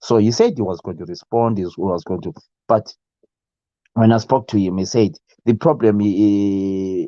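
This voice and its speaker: In a Zimbabwean accent, a man with a dark, mellow tone and fairly low pitch talks at a moderate pace, the sound dry and close with no echo against a quiet background. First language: Ndebele. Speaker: YouTube live show host. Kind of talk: casual live stream chat. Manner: halting, many fillers.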